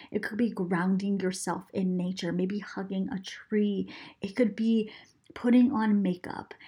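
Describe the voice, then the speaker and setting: A woman's somewhat breathy voice, dark and mellow in tone, at a medium pitch and a moderate pace. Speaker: podcast host and mindset coach. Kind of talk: solo podcast episode, motivational teaching. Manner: animated, enthusiastic.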